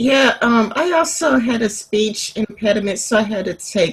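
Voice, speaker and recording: Her voice is somewhat breathy, and this woman speaks with lively intonation. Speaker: interviewer. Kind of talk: casual interview.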